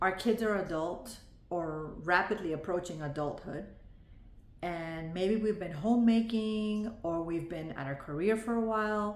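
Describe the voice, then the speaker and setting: Woman at a medium pitch, fairly slow pace and ordinary pitch variation, with audible room echo. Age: 40s. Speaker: vlogger, former nurse. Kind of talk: video diary monologue. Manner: reading from notes.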